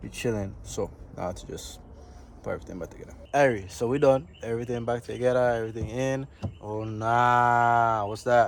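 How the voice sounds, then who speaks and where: The speaker talks at a moderate pace in a Virgin Islands accent, with fairly even intonation. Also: man, medium pitch for a man, big swings in loudness. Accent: Virgin Islands Caribbean English. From US Virgin Islands, Saint Croix. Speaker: futures trader, vlogger. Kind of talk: casual vlog. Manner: casual, filled with ums.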